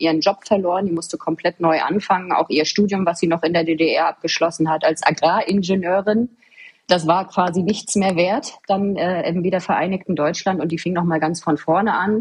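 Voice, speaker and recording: At a moderate pace, a woman talks in a fairly low, somewhat breathy voice with fairly even intonation. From Mecklenburg-Vorpommern, eastern Germany (Waren an der Müritz). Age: 30s. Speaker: government official. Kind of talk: interview.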